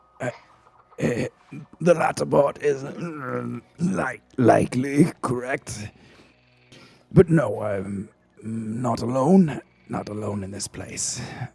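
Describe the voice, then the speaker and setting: A raspy, put-on character voice with lively intonation and big swings in loudness. It moves at a very slow pace with long, frequent pauses. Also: man, medium pitch for a man. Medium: actual play. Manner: hesitant, stammering, soft-spoken.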